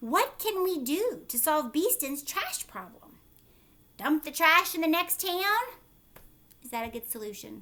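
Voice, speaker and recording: A woman's put-on character voice at an extremely high pitch, with very wide pitch swings, a moderate pace and long, frequent pauses. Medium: read story.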